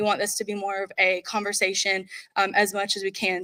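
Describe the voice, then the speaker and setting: Loud and bright with a sharp tone, this voice with an American accent moves at a fairly quick pace on a very clean recording with a silent background. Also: woman. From North Carolina. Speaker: corporate recruiter. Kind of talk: conference presentation. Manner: animated.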